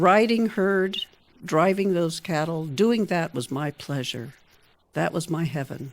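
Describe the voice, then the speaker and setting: A woman with an unremarkable speaking voice and a fairly low pitch talks at a fairly slow pace with lively intonation. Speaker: writer. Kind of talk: reading own newspaper story aloud.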